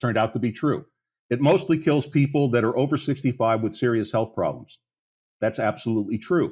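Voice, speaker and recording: On a very clean recording with a silent background, a somewhat breathy man speaks at a moderate pace with lively intonation. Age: 60s. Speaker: policy advocate, plan founder. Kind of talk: podcast interview. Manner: animated.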